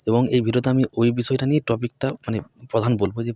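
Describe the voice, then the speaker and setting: Medium in pitch, a man's voice carries a dark, mellow tone in a dry, close sound with no echo. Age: 20s. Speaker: education YouTuber. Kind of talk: motivational talk to camera.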